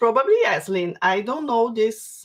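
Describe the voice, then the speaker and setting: A woman in a Brazilian Portuguese accent, fairly high in pitch, at a moderate pace with ordinary pitch variation. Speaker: craft workshop instructor. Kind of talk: live stream Q&A. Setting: online livestream. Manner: halting, repeats words.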